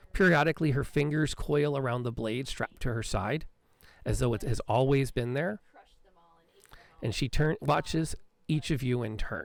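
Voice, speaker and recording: A raspy put-on character voice at a low-to-middle pitch and moderate pace, with long, frequent pauses. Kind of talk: gothic horror narration. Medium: actual play.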